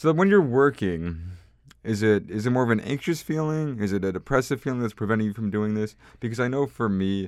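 A man talks in a plain, everyday voice with a fairly low pitch. His pace is fairly quick and his intonation lively. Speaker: podcast host. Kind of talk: casual interview chat, comedic intro.

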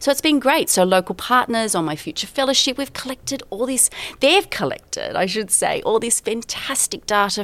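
A woman with an Australian accent speaks at a moderate pace, her pitch swinging very widely. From rural New South Wales, Australia. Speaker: geography professor. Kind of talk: interview.

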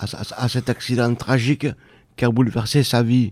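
This man's tone is dark and mellow, set at a medium pitch. He talks at a very slow pace. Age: old. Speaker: day centre member, retired, poet. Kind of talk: radio interview; poetry reading. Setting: radio studio. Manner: halting.

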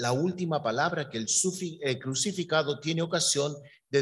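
A man speaks in a somewhat breathy voice. His pitch sits fairly high. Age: 50s. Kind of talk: sermon.

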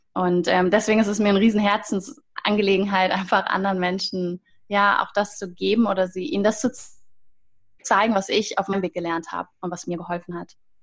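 A plain, everyday voice talks at a fairly quick pace with fairly even intonation. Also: woman, medium pitch for a woman. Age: 30s. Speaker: holistic coach. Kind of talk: interview.

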